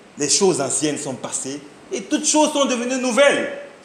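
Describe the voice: Strong room echo surrounds a man talking at a moderate pace with a high pitch.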